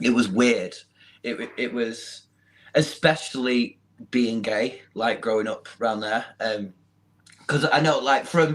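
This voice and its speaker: A man with a Manchester accent, a very slow pace, long, frequent pauses and ordinary pitch variation. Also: medium pitch for a man. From northern England, Manchester. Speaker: social media model. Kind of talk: interview.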